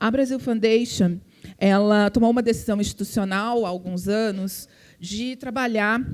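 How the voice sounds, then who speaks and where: A woman's fairly high voice in a strong gaúcho accent, at a moderate pace, with ordinary pitch variation. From southern Brazil, Porto Alegre. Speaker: philanthropy foundation representative. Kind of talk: panel talk. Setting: event with audience.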